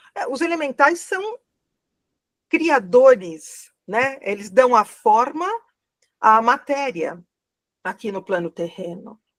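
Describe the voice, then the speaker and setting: Pausing long and often, a woman speaks very slowly at a high pitch, her voice swinging very widely in pitch and greatly in loudness. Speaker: spiritual therapy teacher. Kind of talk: online class Q&A. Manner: slow, deliberate.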